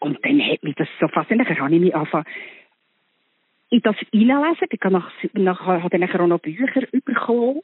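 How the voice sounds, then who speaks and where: A woman's medium-pitched voice at a fairly quick pace, full of very wide pitch swings. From Switzerland, Bern. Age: 60s. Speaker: actress. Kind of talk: casual chat. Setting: phone call.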